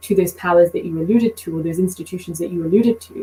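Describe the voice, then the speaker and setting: A woman with a British accent talks at a very fast pace. Her medium pitch follows a fairly even intonation. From Britain. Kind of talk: podcast conversation.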